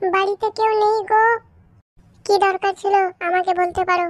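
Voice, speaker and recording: Using a cartoonish character voice, a woman speaks at an extremely high pitch and a moderate pace. Her intonation is monotone and flat, and the sound is dry and close with no echo. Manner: polite, reserved.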